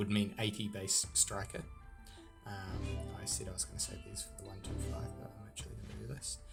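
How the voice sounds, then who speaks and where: Music plays in the background as a man mumbles. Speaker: mobile strategy game commentator. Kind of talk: casual gameplay commentary. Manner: mumbling.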